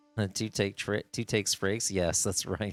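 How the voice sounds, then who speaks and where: A man with a fairly low pitch talks at a fairly quick pace. The sound is dry and close with no echo, on a very clean recording with a silent background. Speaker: video game streamer. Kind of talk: live gameplay stream chat. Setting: live stream. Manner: animated.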